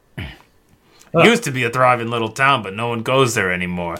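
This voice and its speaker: A man uses a put-on character voice, gruff and at a medium pitch. The recording is very clean with a silent background. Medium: actual play. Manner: casual, gruff, streetwise, says yous.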